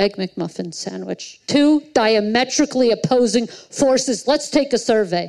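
Speaking fairly slowly with an American accent, a woman uses an unremarkable speaking voice, fairly high in pitch, with lively intonation. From New York. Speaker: stand-up comedian. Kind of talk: stand-up; casual chat. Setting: stage with audience; studio.

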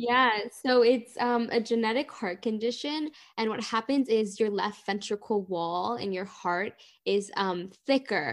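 A woman with an American accent and an unremarkable speaking voice, fairly high in pitch with ordinary pitch variation, talking at a fairly slow pace in a very clean recording with a silent background. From Miami, Florida. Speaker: heart patient advocate and dancer. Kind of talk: casual interview chat.

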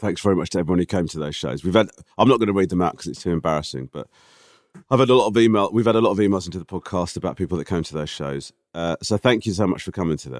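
Talking at a very fast pace, a man shows vocal fry and big swings in loudness. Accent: British. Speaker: podcast co-host. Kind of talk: casual chat.

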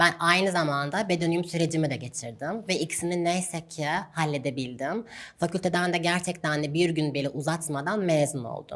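A woman speaks in an unremarkable speaking voice at a fairly low pitch. Her pace is moderate and her pitch variation ordinary. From Turkey, Gaziantep. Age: 20s. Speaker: doctor. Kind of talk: interview.

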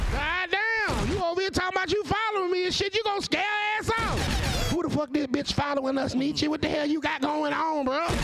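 A man talks at a fairly quick pace in an extremely high pitch, with ordinary pitch variation and noticeable background noise. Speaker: debate show host. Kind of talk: heated debate. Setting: stage with live audience. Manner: loud, profane, laughing roast-style ribbing; rapid-fire, repetitive bursts.

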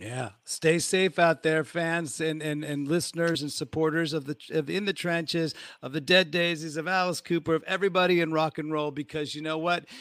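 A man with a fairly high pitch speaks in a plain, everyday voice with an American accent, at a moderate pace with hardly any pauses. His intonation is fairly even, and the sound is dry and close with no echo. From United States. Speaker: podcast host and musician. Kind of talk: casual interview on live stream. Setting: hotel room on tour, remote live stream.

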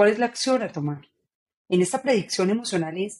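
Her tone animated, a woman speaks at a fairly quick pace with very wide pitch swings. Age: 40s. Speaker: author and neurocoach. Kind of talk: interview.

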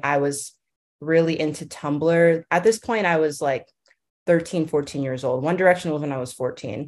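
A woman has an ordinary speaking voice. Her pace is moderate. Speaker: music fan and TikTok creator. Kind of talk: casual interview chat.

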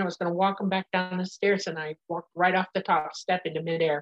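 A woman speaks at a very fast pace with a medium pitch. Her intonation stays flat and monotone. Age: 60s. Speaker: nurse and claimed alien contactee. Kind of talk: interview.

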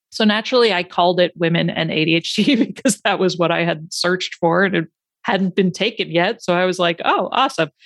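With an ordinary speaking voice, a woman talks at a fairly quick pace and medium pitch, showing ordinary pitch variation and very even loudness in a dry, close sound with no echo. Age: 40s. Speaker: ADHD coach and podcaster. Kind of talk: casual interview chat.

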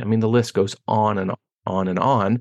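A man with a Pittsburgh accent talks at a moderate pace in a medium pitch. The sound is dry and close with no echo, over a quiet background. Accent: American, Pittsburgh. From Pittsburgh, Pennsylvania, US. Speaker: wealth education founder. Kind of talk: interview.

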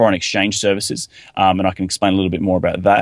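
Talking at a very fast pace with an Australian accent, a man sounds dry and close with no echo against a quiet background. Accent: thick Australian. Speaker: real estate investor. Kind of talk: podcast interview.

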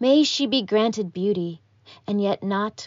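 A woman with a plain, everyday voice speaks at medium pitch and a fairly slow pace, with ordinary pitch variation. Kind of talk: poetry reading (erasure poem).

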